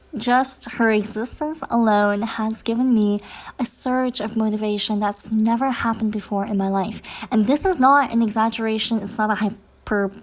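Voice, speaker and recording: A woman speaks at a moderate pace in a fairly high pitch for a woman, somewhat breathy, with fairly even intonation. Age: 20s. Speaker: vlogger. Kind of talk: personal vlog monologue.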